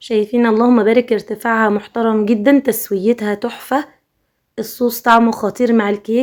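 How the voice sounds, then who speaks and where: This woman's voice sits fairly high in pitch with monotone, flat intonation. She keeps a moderate pace. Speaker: cooking vlogger. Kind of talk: casual vlog narration.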